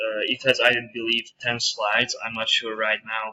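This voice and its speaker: With a strong Hungarian accent, a man of medium pitch talks at a moderate pace in a bright, sharp tone. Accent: heavy Hungarian. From Hungary. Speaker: university student. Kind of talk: screencast presentation. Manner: halting, many fillers.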